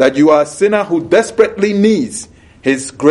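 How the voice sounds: Lively intonation colors the natural reading voice.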